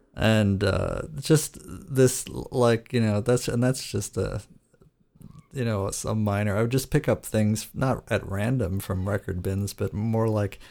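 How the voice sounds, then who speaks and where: The recording is very clean, with a silent background. A man with a fairly low voice talks at a moderate pace with ordinary pitch variation. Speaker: podcast host. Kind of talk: casual chat. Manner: hesitant, many filler words.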